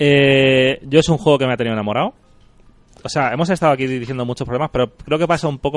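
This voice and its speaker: Delivered at a very fast pace with fairly even intonation, the speech has a dry, close sound with no echo and music in the background. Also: man. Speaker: podcast host. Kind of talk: casual chat.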